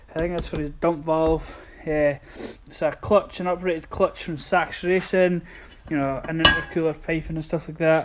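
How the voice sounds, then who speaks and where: Noticeable background noise runs under speech at a medium tempo. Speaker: car mechanic youtuber. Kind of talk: casual workshop vlog. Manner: slightly slurred speech.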